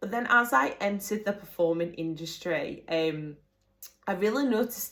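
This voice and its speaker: A woman speaks with an English accent at a moderate pace. Her intonation is lively. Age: 20s. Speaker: singer and dancer. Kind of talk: personal testimony. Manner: casual, with hesitations.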